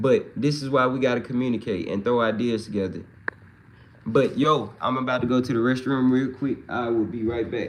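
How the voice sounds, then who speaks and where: With a slight Mississippi accent, a man talks at a fairly quick pace in fairly even intonation. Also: medium pitch for a man. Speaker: livestreamer and hip-hop musician. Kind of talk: casual livestream chat reading comments. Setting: live stream. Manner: relaxed, conversational with fillers.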